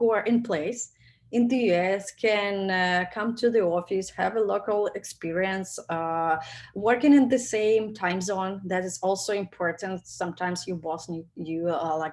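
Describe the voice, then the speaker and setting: A woman with a Russian accent at a fairly slow pace, her pitch varying in an ordinary way. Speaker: product manager. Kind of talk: webinar talk with Q&A. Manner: halting, many fillers.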